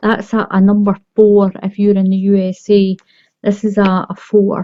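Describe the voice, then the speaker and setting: Her medium-pitched voice has a dark, mellow tone as the woman speaks at a moderate pace with monotone, flat intonation. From Scotland. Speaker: crochet tutorial creator. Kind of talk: tutorial. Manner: friendly, encouraging.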